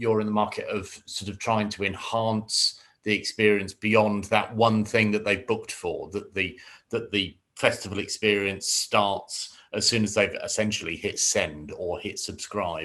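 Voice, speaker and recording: The speaker is a man with a British accent. The recording is very clean, with a silent background. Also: fairly slow pace, hardly any pauses. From UK. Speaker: podcast host. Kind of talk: interview.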